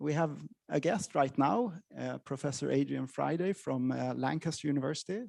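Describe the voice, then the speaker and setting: A man talks at a fairly quick pace in a plain, everyday voice, fairly high in pitch, with lively intonation. The background is quiet. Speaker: associate professor, lecturer. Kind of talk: lecture.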